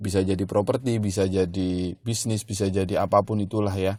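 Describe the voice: This man has a low pitch and a slightly mellow tone. He moves at a fairly quick pace with fairly even intonation.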